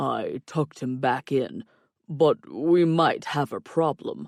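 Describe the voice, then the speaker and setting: A man puts on a growling character voice with a fairly high pitch at a fairly slow pace. The recording is very clean with a silent background and a dry, close sound with no echo. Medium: read story. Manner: dry, wisecracking.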